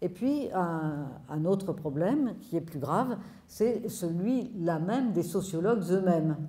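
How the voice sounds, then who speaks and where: The delivery is very slow, somewhat breathy and carries lively intonation. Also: woman, medium pitch for a woman. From France. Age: 70s. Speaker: sociologist; speaker. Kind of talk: public talk. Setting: stage with audience. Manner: animated. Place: hall. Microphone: handheld.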